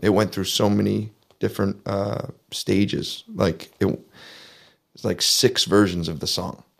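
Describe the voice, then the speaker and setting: In a Canadian accent, a man with a very deep, low pitch and vocal fry talks at a moderate pace with fairly even intonation, on a very clean recording with a silent background. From southwestern Ontario, Canada. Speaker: singer-songwriter. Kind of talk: interview.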